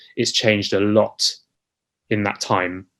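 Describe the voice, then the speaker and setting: A man's fairly low-pitched voice with monotone, flat intonation. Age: 30s. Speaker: musical theatre actor. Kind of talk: interview.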